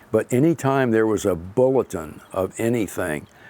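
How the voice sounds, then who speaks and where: With a Florida accent, the voice has a dark, mellow tone and ordinary pitch variation. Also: man. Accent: Southern US (old Florida). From Florida, Palm Beach County area. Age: 80s+. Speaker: local pioneer family elder. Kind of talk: oral history interview.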